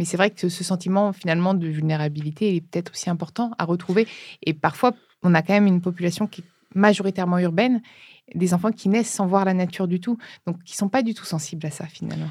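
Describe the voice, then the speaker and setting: A somewhat breathy woman at a very fast pace, fairly even in intonation, on a very clean recording with a silent background. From France, Brittany. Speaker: podcast host. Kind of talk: interview.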